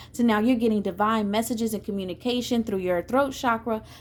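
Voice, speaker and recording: A woman's fairly high pitch with fairly even intonation. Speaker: tarot reader. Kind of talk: tarot reading. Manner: fast.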